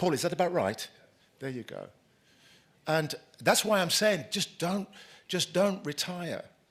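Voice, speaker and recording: With a British accent, a man speaks in a high pitch with lively intonation. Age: 60s. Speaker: keynote speaker, former racial justice activist, college head. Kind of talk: conference keynote speech. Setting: conference stage with live audience. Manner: conversational, repeats words often.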